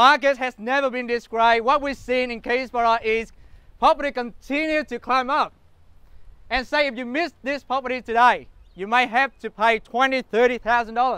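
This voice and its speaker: In a raised, projected voice with a bright, sharp tone, a man speaks at an extremely high pitch with fairly even intonation. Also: dry sound with no echo. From Australia. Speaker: real estate auctioneer. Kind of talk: property auction opening pitch to bidders. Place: street. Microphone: lapel.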